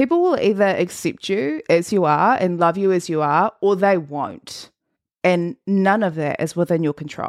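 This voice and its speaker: A woman at medium pitch with ordinary pitch variation and a moderate pace, against a quiet background. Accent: New Zealand. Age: 20s. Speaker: podcast host. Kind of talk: motivational monologue.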